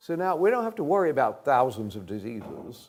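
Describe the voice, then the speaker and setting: This is a man speaking. His voice has a dark, mellow tone. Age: 80s+. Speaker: health educator. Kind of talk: lecture to live audience.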